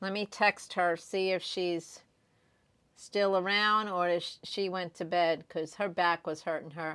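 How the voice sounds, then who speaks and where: A woman talks at a fairly slow pace in a normal speaking voice, medium in pitch with ordinary pitch variation. The recording is very clean, with a silent background. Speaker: diamond painting YouTuber. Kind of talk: livestream chat with viewers.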